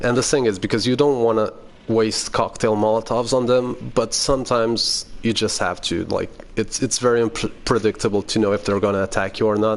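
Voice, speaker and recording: A man with a Portuguese accent talks at a fairly quick pace and medium pitch. His loudness is very even and his intonation fairly even. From Portugal. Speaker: gaming youtuber. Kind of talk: gameplay tutorial commentary. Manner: casual, halting with fillers.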